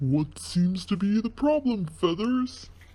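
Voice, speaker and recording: This is a put-on character voice, female-sounding and medium in pitch for a woman. It moves at a fairly slow pace. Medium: read story.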